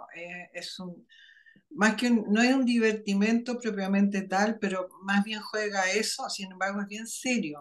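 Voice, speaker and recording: A woman talks at a fairly slow pace with fairly even intonation and big swings in loudness, in a normal speaking voice. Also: medium pitch for a woman. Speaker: writer and spiritual teacher. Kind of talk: interview.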